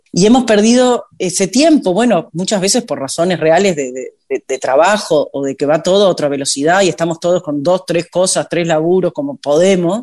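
A woman with a Uruguayan accent speaks in a dark, mellow tone at a fairly low pitch, moving at a moderate pace with lively intonation and hardly any pauses, in a dry, close sound with no echo. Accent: Uruguayan Spanish (rioplatense). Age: 50s. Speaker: singer. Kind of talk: interview.

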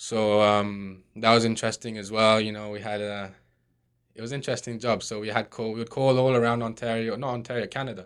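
On a very clean recording with a silent background, a man with an English accent talks at a fairly quick pace and medium pitch, his intonation monotone and flat, with big swings in loudness. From Scotland. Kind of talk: casual interview.

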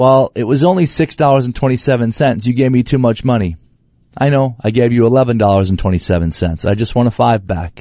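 Against a quiet background, a man talks at a very fast pace with a medium pitch, a dark, mellow tone and lively intonation. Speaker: radio host. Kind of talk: casual chat. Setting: studio.

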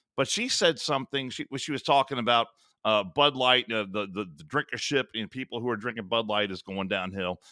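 The voice has a bright, sharp tone and ordinary pitch variation at a fairly quick pace. The recording is very clean, with a silent background. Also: man, medium pitch for a man, big swings in loudness. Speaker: radio host. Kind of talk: casual chat. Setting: studio.

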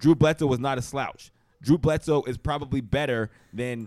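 A man's medium-pitched voice at a fairly quick pace, with ordinary pitch variation and a dry, close sound with no echo. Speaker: podcast host, former NFL player. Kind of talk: casual sports chat. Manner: animated.

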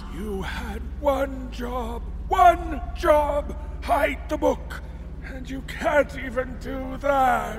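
Loud background noise fills the clip. A man speaks in a put-on character voice at a very slow pace. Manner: whiny, panicked, melodramatic.

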